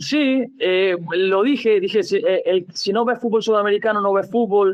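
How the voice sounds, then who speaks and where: With very even loudness and ordinary pitch variation, a man talks at a high pitch. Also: moderate pace. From Andalusia, Spain. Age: young. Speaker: football coach. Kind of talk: interview answer.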